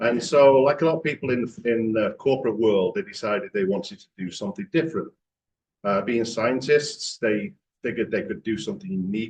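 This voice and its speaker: A man with an English accent talks at a fairly quick pace in a medium-pitched voice that makes very wide pitch swings. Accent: English accent, noticeable. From England, Manchester. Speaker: franchise executive. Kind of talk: club talk presentation. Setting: club meeting with audience.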